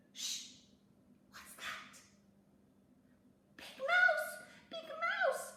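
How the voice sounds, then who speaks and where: A woman puts on a squeaky character voice. Her pitch is extremely high. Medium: read story. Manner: anxious, pleading.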